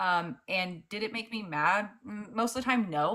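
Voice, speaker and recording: A woman's bright, sharp voice with ordinary pitch variation. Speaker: debate livestream host. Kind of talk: live debate.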